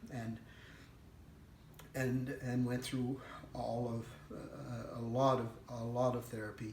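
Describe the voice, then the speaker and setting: Through noticeable background noise and audible room echo, a man of medium pitch speaks at a very slow pace in a monotone, flat intonation, with long, frequent pauses. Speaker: veteran with PTSD. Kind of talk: personal testimony. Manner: halting.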